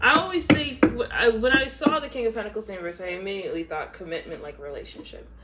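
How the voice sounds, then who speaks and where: Talking very fast at a high pitch, a woman swings widely in both pitch and loudness over noticeable background noise. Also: hardly any pauses. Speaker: tarot reader. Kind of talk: tarot reading.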